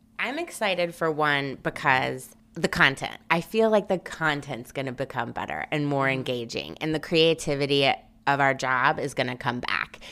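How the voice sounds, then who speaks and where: Very deep and low for a woman, her voice has a bright, sharp tone and vocal fry, with ordinary pitch variation. She hardly pauses, and the recording is very clean with a silent background. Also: moderate pace. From Memphis, Tennessee. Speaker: talent agency executive. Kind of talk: casual chat.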